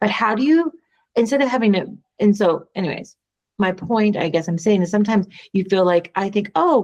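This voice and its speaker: With an ordinary speaking voice at a medium pitch, a woman talks at a fairly quick pace with lively intonation. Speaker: podcast co-host. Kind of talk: casual chat.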